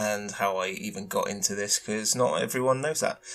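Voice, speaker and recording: A man's medium-pitched speech comes with noticeable background noise. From UK. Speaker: concept artist, podcast host. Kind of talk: casual solo podcast. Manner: many filler words, hesitant. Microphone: cheap tinny mic.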